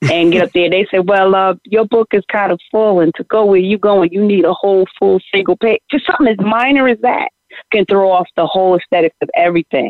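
A woman's medium-pitched voice at a fairly quick pace, with ordinary pitch variation, very even loudness and hardly any pauses. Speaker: singer. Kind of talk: casual interview.

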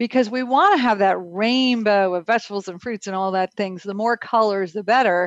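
Having a plain, everyday voice, a woman at medium pitch speaks at a fairly quick pace with ordinary pitch variation in a dry, close sound with no echo. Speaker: health radio co-host. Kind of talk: casual chat.

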